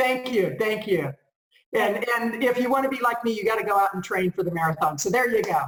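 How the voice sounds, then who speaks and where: Fairly high in pitch, a woman talks in a normal speaking voice. Her intonation is lively and her pace fairly quick. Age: 60s. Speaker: conference speaker and business coach. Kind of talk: interview.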